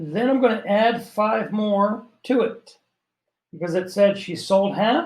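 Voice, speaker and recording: The man's voice is pitched high. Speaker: math teacher. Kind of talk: tutorial.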